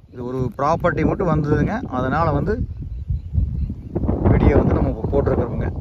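A man's medium-pitched voice at a fairly quick pace, with clear background noise.

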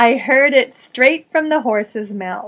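Lively intonation runs through this woman's high voice, delivered in an American accent. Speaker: voice actor. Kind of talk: English lesson talk to camera. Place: home room. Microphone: webcam.

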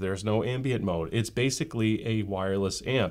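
Behind the male voice, all is quiet. Pitch moves up and down an ordinary amount. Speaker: tech reviewer. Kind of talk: product review commentary. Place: home room.

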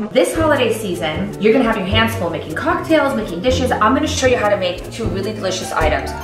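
A woman speaking at a very fast pace with hardly any pauses, clear music in the background. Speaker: cooking show host. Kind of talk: cooking tutorial. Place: kitchen.

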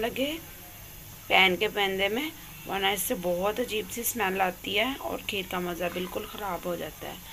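Light background noise runs under a woman's voice. She speaks at a fairly slow pace with ordinary pitch variation. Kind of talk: cooking tutorial. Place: kitchen. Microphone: phone near.

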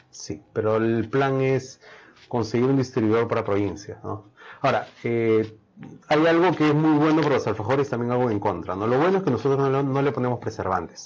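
A man with an unremarkable speaking voice talks at a fairly quick pace and medium pitch, with ordinary pitch variation. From Peru. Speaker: chef and food business owner; guest. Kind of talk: interview. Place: studio.

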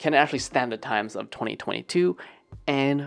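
Ordinary pitch variation in a man's speech. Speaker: video creator. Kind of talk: casual vlog chat. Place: home room. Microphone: handheld.

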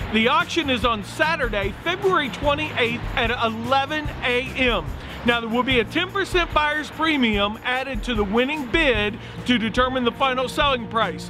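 Over clear music in the background, a man with an extremely high voice talks at a moderate pace with ordinary pitch variation. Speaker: auctioneer and real estate broker. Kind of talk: promotional auction announcement to camera. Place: street.

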